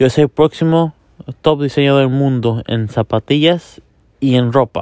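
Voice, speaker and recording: There is no echo around this man's voice, and the sound is dry and close. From US, Miami. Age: young. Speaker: sneaker and fashion show host. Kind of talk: casual show introduction. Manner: halting.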